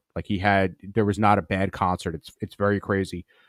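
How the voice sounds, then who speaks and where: A man with a fairly low pitch and an American accent, at a moderate pace in an animated tone, with a dry, close sound, no echo, and a very clean recording over a silent background. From US Northeast, Long Island, New York. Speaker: comedy podcast host. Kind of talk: casual solo livestream chat, reading viewer comments.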